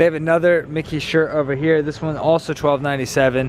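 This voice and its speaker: Over noticeable background noise, a man speaks at a fairly quick pace. His pitch is fairly high, with fairly even intonation. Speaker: Disney shopping vlogger. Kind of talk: casual vlog walkthrough. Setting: inside a store. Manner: fast.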